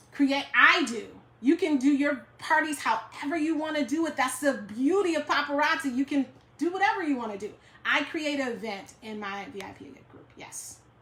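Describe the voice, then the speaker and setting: High-pitched woman's voice with lively intonation and big swings in loudness. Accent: American. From New York. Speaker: direct sales team leader. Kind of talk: live stream Q&A. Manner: fast.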